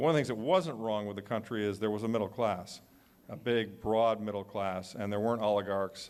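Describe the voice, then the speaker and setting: A man talks in a normal speaking voice with an American accent. His pitch is fairly low and his pace fairly quick. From United States. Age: 60s. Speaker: author and panelist. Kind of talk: panel discussion.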